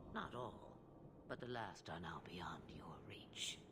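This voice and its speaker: A whispered, put-on character voice at a fairly slow pace over loud background noise. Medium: video game.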